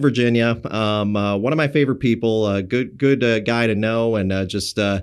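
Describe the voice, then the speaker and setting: At a moderate pace, a man speaks with fairly low pitch and ordinary pitch variation. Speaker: podcast host. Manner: halting, frequent filler words.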